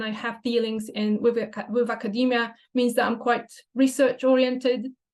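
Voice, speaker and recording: A woman speaks at a moderate pace with a Polish accent. Her fairly high-pitched voice stays flat and monotone. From Poland. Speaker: language teacher and photographer. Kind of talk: presentation. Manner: hesitant, many fillers.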